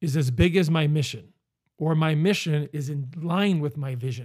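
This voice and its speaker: The recording is very clean, with a silent background. The voice is somewhat breathy, with ordinary pitch variation. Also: man. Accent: American. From Northeast Pennsylvania. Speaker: business coach and podcast host. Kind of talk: motivational monologue.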